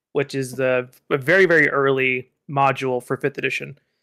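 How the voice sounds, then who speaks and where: The man's tone is bright and sharp, with a slight Texan accent. The sound is dry and close, with no echo. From Texas. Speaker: game designer and game master. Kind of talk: casual chat.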